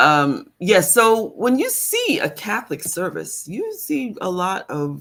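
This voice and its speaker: A woman speaks at a very slow pace with hardly any pauses. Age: 60s. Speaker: spiritual teacher and livestream host. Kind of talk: casual livestream talk. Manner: occasional stammer; halting, many fillers.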